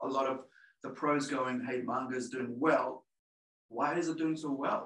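With a New Zealand accent, a man talks at a moderate pace in a medium pitch. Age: 40s. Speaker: comic publisher. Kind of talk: webinar interview. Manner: halting, many fillers.

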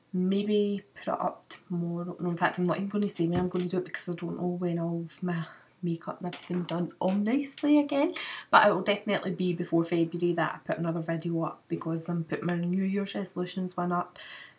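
A woman with a Scottish accent talks at a very fast pace in a fairly low, somewhat breathy voice with ordinary pitch variation. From Glasgow, Scotland. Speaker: beauty vlogger. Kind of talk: casual talk to camera. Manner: chatty, fast. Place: home room. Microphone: webcam.

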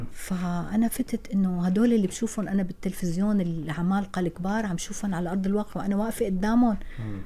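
Somewhat breathy and dark, mellow in tone, a woman with a Syrian accent talks fairly quickly with hardly any pauses and fairly even intonation. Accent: Syrian Levantine Arabic. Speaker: actress. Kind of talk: interview. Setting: radio studio. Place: studio. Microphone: studio mic.

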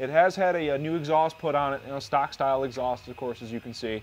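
Light background noise sits behind a man speaking at a fairly quick pace. His pitch varies in an ordinary way. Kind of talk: walkaround commentary. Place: garage.

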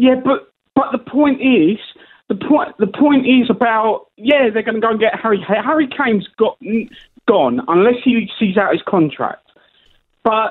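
A man with an extremely high voice speaks fairly slowly, his pitch varying in an ordinary way. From England. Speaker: caller. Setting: phone call. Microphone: phone line.

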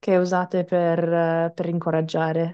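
A woman with an English accent speaks at a fairly slow pace. Her tone is dark and mellow against a quiet background. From Canada. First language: English (speaking Italian). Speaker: English teacher and singer; English teacher. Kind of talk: webinar presentation. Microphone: headset.

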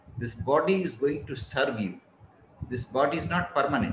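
At a fairly slow pace, a man with a fairly high pitch makes very wide pitch swings, with audible room echo and light background noise. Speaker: motivational speaker giving a talk. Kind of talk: lecture, advisory. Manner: slow, relaxed, comfortable pace; calm, measured. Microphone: earbuds.

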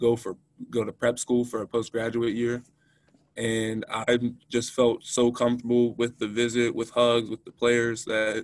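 This man's voice sounds dry, with no echo. The background is quiet. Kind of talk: interview answer. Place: meeting room. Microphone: video call.

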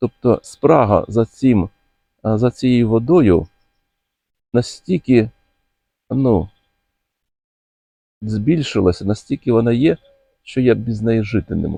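A man's medium-pitched, dark, mellow voice with a slightly husky edge and vocal fry, lively intonation, slow pace and long, frequent pauses, in a dry, close sound with no echo

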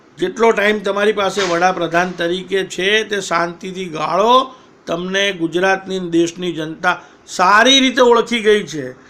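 Over noticeable background noise, a man uses a raised, projected voice with a high pitch and ordinary pitch variation. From Patan, north Gujarat, India. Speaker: political commentator. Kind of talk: political monologue. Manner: combative.

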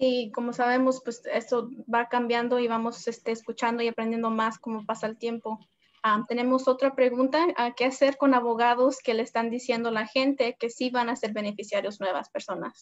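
Delivered at a moderate pace, the speech is monotone and flat, with a quiet background. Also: woman, high pitch for a woman. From US, arrived from abroad aged two. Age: 20s. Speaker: community organizer; host. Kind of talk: live-streamed interview. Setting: Facebook Live stream. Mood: earnest, hopeful. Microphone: video call.

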